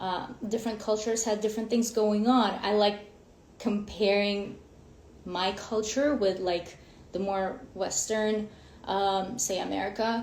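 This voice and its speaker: With audible room echo, a woman speaks in a monotone, flat way, leaving long, frequent pauses. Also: medium pitch for a woman, fairly slow pace. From Ukraine. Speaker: women's coach. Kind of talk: live stream talk. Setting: Instagram live.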